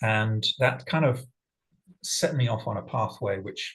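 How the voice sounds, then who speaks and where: At a fairly slow pace, a man with an English accent speaks at a medium pitch with vocal fry. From England. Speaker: sustainability leader and facilitator. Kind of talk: personal talk to online group.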